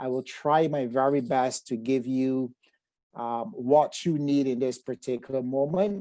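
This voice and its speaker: A man with a Barbadian accent speaks at a medium pitch in a dark, mellow tone. He goes at a fairly slow pace with ordinary pitch variation. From Barbados. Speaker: psychotherapist. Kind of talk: webinar presentation. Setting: video call.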